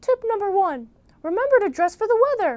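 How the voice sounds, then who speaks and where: An extremely high-pitched, put-on character voice carries the whole clip. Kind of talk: instructional video host. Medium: comedy sketch. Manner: chipper, earnest.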